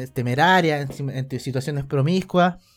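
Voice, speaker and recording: A man with a Chilean accent speaks at a fairly high pitch with fairly even intonation, on a very clean recording with a silent background. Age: 20s. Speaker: video game streamer. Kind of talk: casual interview. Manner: halting, many repetitions.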